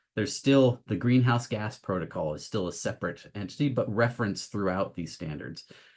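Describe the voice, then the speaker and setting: In a plain, everyday voice, a man talks at a fairly quick pace with hardly any pauses. His pitch is fairly low, with lively intonation. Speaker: professor. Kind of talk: lecture.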